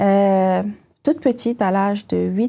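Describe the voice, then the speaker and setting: A woman's dark, mellow tone at a very slow pace. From northern Cameroon (Maroua, Douala, Yaoundé). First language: Fula (speaking French). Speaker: tech company CEO. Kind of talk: interview, personal story. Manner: hesitant, many fillers.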